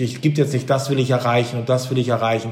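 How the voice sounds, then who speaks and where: A man's voice with audible room echo. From East Frisia, northern Germany. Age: 40s. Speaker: business executive and author. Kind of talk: interview. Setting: video call.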